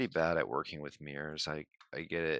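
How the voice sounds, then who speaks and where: At a moderate pace, a man speaks quietly in a dry, close sound with no echo. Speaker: live streamer designing 3D prints. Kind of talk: live stream tutorial commentary. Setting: live stream at home. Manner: quiet, low-key; halting, thinking aloud.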